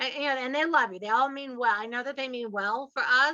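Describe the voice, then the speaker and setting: Bright and sharp in tone, a woman with an American accent speaks in a high, animated voice. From US South. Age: 60s. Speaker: podcast host and real estate investor. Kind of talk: podcast interview.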